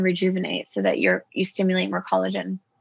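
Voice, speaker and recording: This woman's pitch is medium. She speaks with a Canadian accent. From Toronto, Canada (Persian family from Iran). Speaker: integrative and aesthetics doctor. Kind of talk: podcast interview.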